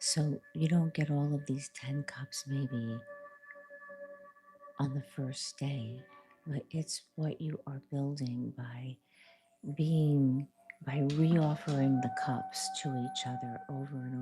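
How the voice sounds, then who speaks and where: Long, frequent pauses break up very slow speech while music plays in the background. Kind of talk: soft-spoken tarot reading and reiki ASMR. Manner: soft-spoken.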